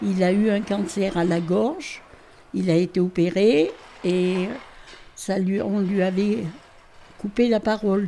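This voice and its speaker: A woman speaks at a very slow pace with long, frequent pauses. Her medium pitch stays fairly even. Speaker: farmer. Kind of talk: interview.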